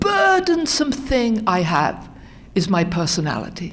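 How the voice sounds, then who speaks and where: Speaking in a British accent, a woman has a fairly high pitch. Room echo and background noise are both noticeable. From England, London area. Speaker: recovery speaker. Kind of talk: testimony.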